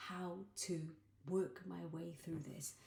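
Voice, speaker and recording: Quiet and somewhat breathy, a woman's voice has a dark, mellow tone. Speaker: life coach and vlogger. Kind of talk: personal video diary. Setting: at home late at night. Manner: speaking quietly.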